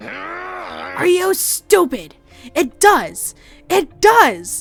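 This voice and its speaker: A put-on character voice sounds strained and moves at a very slow pace. Faint music plays in the background. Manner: angry, exasperated.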